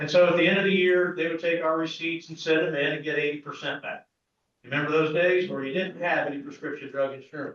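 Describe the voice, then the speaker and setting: A man talks very fast with a Midwestern US accent. His pitch is fairly high, and his intonation is monotone and flat. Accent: US Midwest. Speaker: pharmacist, business owner. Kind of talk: speech to an assembly. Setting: meeting hall with audience. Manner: loud.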